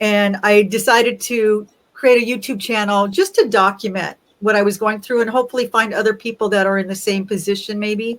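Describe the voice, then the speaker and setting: Here is a woman with a normal speaking voice. She talks at a fairly quick pace with a fairly high pitch. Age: 60s. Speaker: interview guest sharing weight-loss story. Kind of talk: casual interview, personal testimony.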